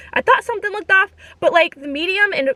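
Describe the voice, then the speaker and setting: Animated in tone, a woman talks in a raised, projected voice. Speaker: vlogger. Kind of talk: casual storytelling vlog.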